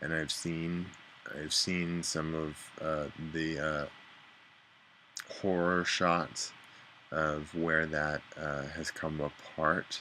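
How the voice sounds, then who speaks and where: A man mumbles very slowly in a very deep, low voice, leaving long, frequent pauses. His intonation stays monotone and flat. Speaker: vlogger. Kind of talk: casual video diary. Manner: halting, mumbling.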